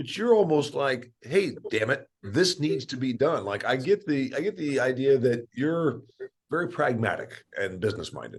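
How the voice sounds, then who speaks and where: A man talks at a moderate pace with a fairly high pitch and lively intonation. He uses an ordinary speaking voice. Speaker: podcast host. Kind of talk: podcast interview questions.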